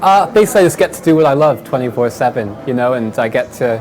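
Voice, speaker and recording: Medium-pitched male speech with audible room echo and noticeable background noise. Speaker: esports player. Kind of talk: interview.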